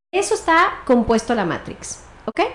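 A high-pitched woman's voice moves through very wide pitch swings. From Mexico City. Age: 40s. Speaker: family constellations therapist. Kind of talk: interview.

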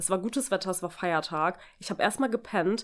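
A woman with a plain, everyday voice talks at a fairly quick pace, at a medium pitch with ordinary pitch variation. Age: 20s. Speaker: podcast host. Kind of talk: casual chat. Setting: recording in co-host's apartment.

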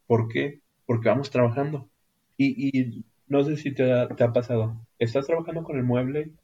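A man speaks at a moderate pace and medium pitch, his dark, mellow tone somewhat breathy and his intonation fairly even. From northern Mexico, Ciudad Acuña, Coahuila. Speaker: carpenter. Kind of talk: interview.

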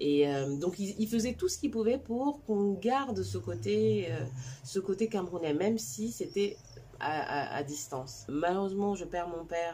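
A woman speaks fairly slowly, her pitch moving in very wide swings. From China, then Cameroon. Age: 40s. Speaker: digital marketing coach. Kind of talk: personal storytelling vlog.

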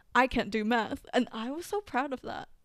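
Recorded very cleanly against a silent background, the speech moves at a fairly quick pace with ordinary pitch variation. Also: woman. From Philippines, moved to New Zealand at ten. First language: Tagalog. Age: 20s. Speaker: podcast co-host. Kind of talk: casual chat.

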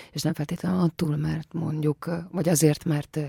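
This woman speaks at a moderate pace with a very deep, low pitch and vocal fry. The sound is dry and close, with no echo. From Transylvania, Romania. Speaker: actress. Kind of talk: radio interview. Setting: studio.

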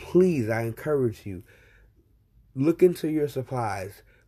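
A man speaks very slowly at a medium pitch, his intonation lively and his tone dark, mellow and somewhat breathy. The recording is very clean, the background silent. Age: 40s. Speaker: podcast host living with Crohn's disease. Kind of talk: personal monologue podcast.

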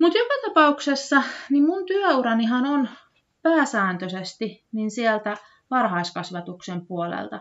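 Her pitch is high, with very wide swings. The woman speaks at a very slow pace. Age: 30s. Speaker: podcast host, former childcare worker. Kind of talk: solo podcast monologue. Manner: hesitant, many fillers.

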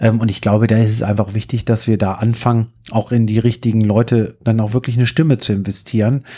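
Against a quiet background, the voice has a dark, mellow tone and moves at a moderate pace. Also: man. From northern Germany, Hannover. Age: 30s. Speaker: fairground business owner and political candidate. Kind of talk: casual interview. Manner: talkative, long-winded.

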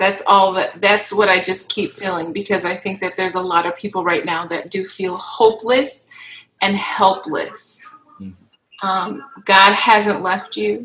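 A woman with an American accent and a plain, everyday voice, medium pitch, ordinary pitch variation and a fairly slow pace. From Kenosha, Wisconsin. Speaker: worship leader, panelist. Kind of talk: livestream panel discussion.

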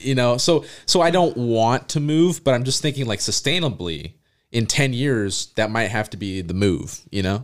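On a very clean recording with a silent background, a man with a plain, everyday voice talks at a moderate pace, medium in pitch with lively intonation. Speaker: podcast co-host. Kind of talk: casual chat.

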